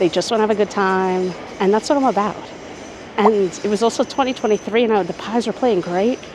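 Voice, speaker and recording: A woman speaks with a New York accent. Her tone is animated, with noticeable background noise behind her. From New York City, Queens. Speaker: travel vlogger. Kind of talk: casual vlog to camera. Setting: outdoors at a stadium before a game.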